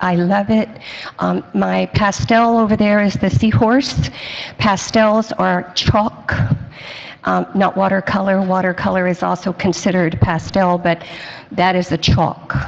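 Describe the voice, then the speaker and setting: A woman with an American accent at medium pitch, fairly slow in pace with ordinary pitch variation, over noticeable background noise. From South Florida. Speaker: senior center artist. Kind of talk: community presentation.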